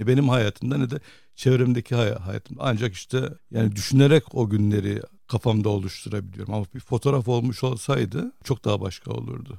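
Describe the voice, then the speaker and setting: A man's voice has a dark, mellow tone, lively intonation and vocal fry. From Cyprus. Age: 60s. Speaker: photojournalist. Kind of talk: interview.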